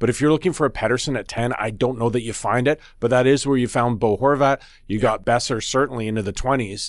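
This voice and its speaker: A man's medium-pitched voice moves at a very fast pace with fairly even intonation over a quiet background. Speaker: sports journalist and podcast host. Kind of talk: casual sports talk podcast.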